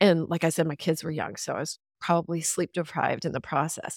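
Delivered at a very fast pace in a Texan accent, the voice sounds dry and close with no echo. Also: woman. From Texas. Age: 50s. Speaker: podcast guest, former radio host and author. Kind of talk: casual interview. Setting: video call.

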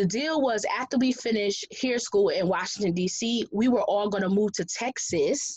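An American-accented woman's ordinary speaking voice, fairly high in pitch, at a moderate pace with lively intonation, very even loudness and hardly any pauses. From Connecticut. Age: 30s. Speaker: guest sharing life story. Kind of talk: testimony.

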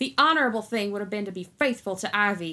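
A female-sounding, put-on character voice growls at a medium pitch. It is raised and projected, racing at a very fast pace. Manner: growling, ready to punch; angry.

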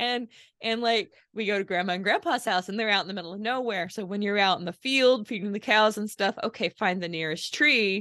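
Speaking fairly quickly in a normal speaking voice, a woman keeps a medium pitch with ordinary variation in it. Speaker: podcast host. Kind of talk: casual interview chat.

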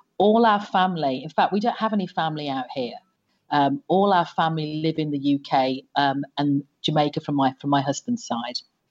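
With a slight British accent, a woman speaks at a moderate pace in a very deep, low pitch with lively intonation. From England. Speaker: former telecom executive. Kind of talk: podcast interview.

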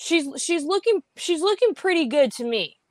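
A woman's voice is captured dry and close, with no echo. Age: 20s. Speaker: podcaster guest. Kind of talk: casual interview chat.

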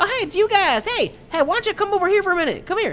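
A squeaky, put-on character voice rattles along at a very fast pace over clear background noise. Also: man, extremely high pitch for a man. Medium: actual play. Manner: profane, excited, casual dialect.

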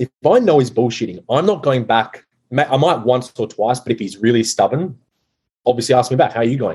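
Somewhat breathy, a man with an Australian accent speaks at a fairly quick pace and medium pitch with ordinary pitch variation. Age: 20s. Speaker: masculinity coach. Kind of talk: casual chat.

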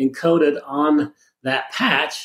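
A man with a normal speaking voice talks at a fairly high pitch, keeping his intonation fairly even. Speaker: product pitchman. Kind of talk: infomercial sales pitch. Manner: filler-heavy, rambling, stop-start.

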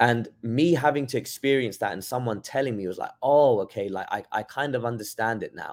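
Here a man talks at a fairly quick pace with hardly any pauses, in a medium pitch with ordinary pitch variation. The recording is very clean, with a silent background. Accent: London. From London, England. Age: 20s. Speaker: boxing trainer. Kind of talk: casual interview chat.

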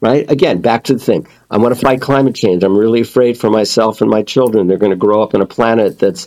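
At a fairly quick pace, a man talks with a dark, mellow tone, a fairly low pitch and ordinary pitch variation. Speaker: author and communication coach. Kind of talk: casual interview chat.

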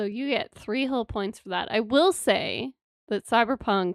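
A woman with a normal speaking voice, fairly high in pitch and with ordinary pitch variation, is heard in a dry, close sound with no echo on a very clean recording with a silent background. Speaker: podcast co-host. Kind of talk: casual chat.

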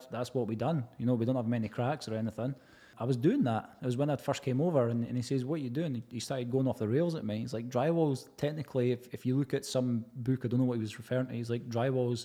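A man with a Scottish accent, medium-pitched and dark, mellow in tone, at a very fast pace with hardly any pauses and fairly even intonation. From Scotland, Edinburgh. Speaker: heritage plasterer. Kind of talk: casual chat.

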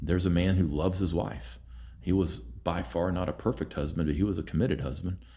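Very fast and full of lively intonation, a man with an American accent speaks at a very deep, low pitch, his tone dark and mellow with vocal fry. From Oklahoma. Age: 40s. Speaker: leadership coach. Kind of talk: casual interview.

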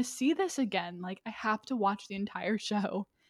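A woman with an American accent talks at a moderate pace in a fairly high pitch, a plain, everyday voice. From Atlanta area, US South. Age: 20s. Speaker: PR professional. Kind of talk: casual chat. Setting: studio, on video.

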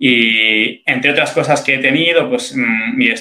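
A man talks in an ordinary speaking voice, fairly slowly, at a medium pitch with ordinary pitch variation. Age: 30s. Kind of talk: interview on faith and morality.

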